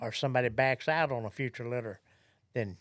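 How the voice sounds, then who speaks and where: On a very clean recording with a silent background, a man with a Southern US accent talks at a fairly quick pace in a medium pitch with fairly even intonation. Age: 70s. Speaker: gun dog trainer and kennel director. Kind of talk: podcast interview.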